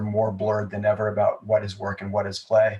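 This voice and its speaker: Somewhat breathy and fairly low in pitch, a man with an American accent talks at a fairly quick pace. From United States, mixed regions. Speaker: comedy entrepreneur. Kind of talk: podcast interview.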